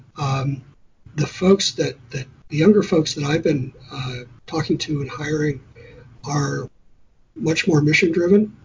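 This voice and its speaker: Fairly high-pitched and somewhat breathy, a man talks at a fairly slow pace with ordinary pitch variation and long, frequent pauses. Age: 50s. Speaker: utility executive. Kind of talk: interview. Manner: halting, many fillers.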